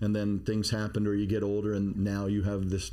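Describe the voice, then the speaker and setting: With audible room echo, a man with an American accent talks at a fairly quick pace in a fairly low voice with a dark, mellow tone. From Maine, US (Bath). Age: 50s. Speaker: podcast co-host, security expert. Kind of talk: casual chat. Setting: studio.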